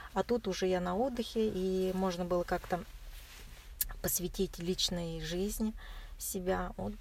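A woman at a fairly slow pace, with long, frequent pauses. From Russia, Chuvashia. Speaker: marathon runner. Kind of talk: interview. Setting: in a car. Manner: soft-spoken.

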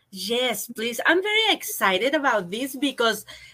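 The tone is bright and sharp. Pitch swings very widely throughout. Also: woman. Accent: Spanish. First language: Spanish. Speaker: arts council representative. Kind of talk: interview. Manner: halting.

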